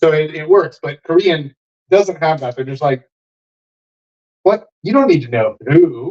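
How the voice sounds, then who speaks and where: With an American accent and an animated tone, a man speaks at a fairly slow pace in a fairly high pitch, his intonation lively, his loudness swinging widely, and his pauses long and frequent. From Texas. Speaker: dating coach and livestream host. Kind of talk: casual group chat on livestream.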